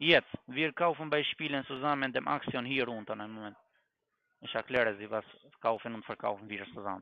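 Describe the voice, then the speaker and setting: Loudness rises and falls sharply as a man talks at a fairly quick pace, his medium pitch varying in an ordinary way. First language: not German (speaking German). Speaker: scam caller posing as financial expert. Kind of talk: sales pitch.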